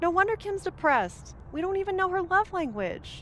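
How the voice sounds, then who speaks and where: An extremely high, squeaky, put-on character voice speaks at a moderate pace. Clear background noise is present. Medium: video game.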